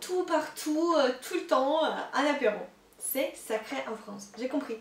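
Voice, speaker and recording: A woman's voice with a slight Russian accent and ordinary pitch variation, over noticeable background noise. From Russia, Moscow. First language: Russian (speaking French). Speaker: YouTuber, expat vlogger. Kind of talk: casual vlog. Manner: hesitant, many fillers.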